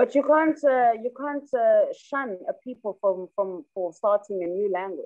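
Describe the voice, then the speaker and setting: A woman's high voice in a South African accent, at a fairly slow pace. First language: Xhosa. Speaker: rapper. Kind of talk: interview.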